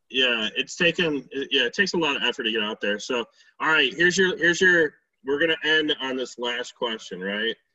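With lively intonation and a fairly high pitch, a man talks fairly quickly in a normal speaking voice. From western New York. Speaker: outdoor podcast host. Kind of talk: casual chat.

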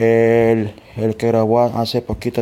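Dark, mellow tone from a male speaker. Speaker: fellow podcaster sending a greeting. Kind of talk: recorded congratulatory message. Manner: hesitant, searching for words.

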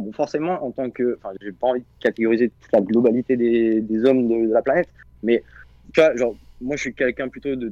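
Here a man has a normal speaking voice at medium pitch. He talks at a fairly quick pace with ordinary pitch variation. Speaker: caller. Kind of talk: casual chat.

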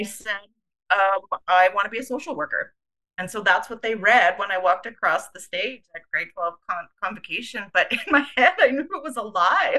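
With a Canadian Prairies accent, a woman speaks at a fairly high pitch. Her pace is moderate and her intonation lively. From Canada, Winnipeg, Manitoba. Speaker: charity CEO. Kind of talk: interview.

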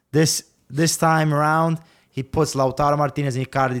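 At a moderate pace with fairly even intonation, the voice comes through in a very clean recording with a silent background. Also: man. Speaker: football pundit. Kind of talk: casual sports panel chat.

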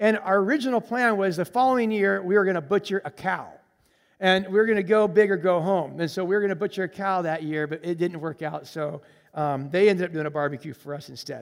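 In an American accent, a high-voiced man talks at a fairly quick pace with ordinary pitch variation on a very clean recording with a silent background. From Colombia, as a US missionary kid. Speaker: missionary. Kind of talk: sermon. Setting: church.

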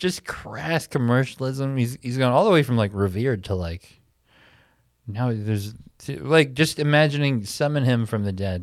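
An unremarkable speaking voice with lively intonation moves at a moderate pace in a very clean recording with a silent background. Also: man, medium pitch for a man. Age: 30s. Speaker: comedy show host and podcast host. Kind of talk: casual chat. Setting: theater after a live show.

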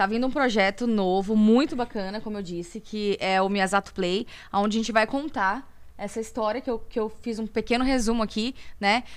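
A woman with a fairly high pitch uses an ordinary speaking voice at a moderate pace, with ordinary pitch variation, on a very clean recording with a silent background. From Brazil, Campinas (São Paulo state). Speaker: singer. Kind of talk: interview.

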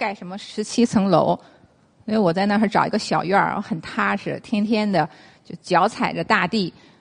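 A plain, everyday voice from a woman at a medium pitch, with ordinary pitch variation and a moderate pace. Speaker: traditional Chinese medicine lecturer. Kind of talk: lecture. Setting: stage with audience.

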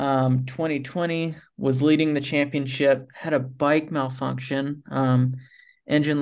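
In an American accent, a man with a fairly high voice speaks at a fairly slow pace in a monotone, flat intonation. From US South, Tallahassee, Florida. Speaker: professional off-road motorcycle racer. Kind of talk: casual interview.

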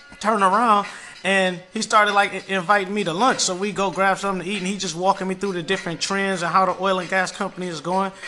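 Over noticeable background noise, a man with a high pitch speaks in a raised, projected voice at a very fast pace. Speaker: podcast host. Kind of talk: radio dj patter; storytelling casual. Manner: animated, high-energy; casual slangy.

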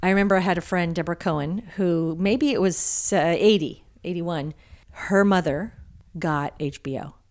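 Here is a woman with an ordinary speaking voice, fairly low in pitch with ordinary variation. She talks at a moderate pace in a very clean recording with a silent background. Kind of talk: casual family chat.

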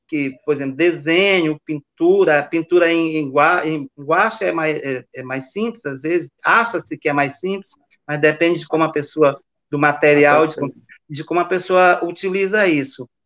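A man speaks with a normal speaking voice at a fairly high pitch. His pace is moderate, with ordinary pitch variation. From Maranhão, Brazil (Bacabal). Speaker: visual artist and retired professor. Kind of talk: interview.

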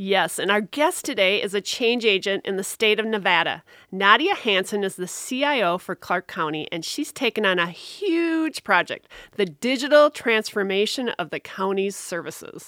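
In a dry, close sound with no echo, a woman speaks at a moderate pace with a bright, sharp tone and lively intonation. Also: medium pitch for a woman, very clean recording, silent background. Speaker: podcast co-host. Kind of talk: casual chat.

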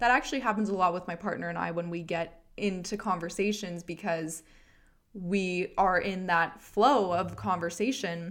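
Speaking with a Canadian accent, a woman with an ordinary speaking voice keeps a moderate pace and fairly even intonation, on a very clean recording with a silent background. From Canada, Edmonton, Alberta. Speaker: podcast host, mindfulness and self-help. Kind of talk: casual monologue, spiritual self-help.

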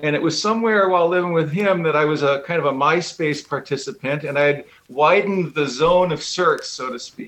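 With music in the background, a man with an Upper Midwest accent talks at a fairly quick pace with hardly any pauses and ordinary pitch variation. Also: fairly high pitch for a man. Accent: Upper Midwest American. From Wisconsin, Milwaukee suburbs. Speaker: musician. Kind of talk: radio interview.

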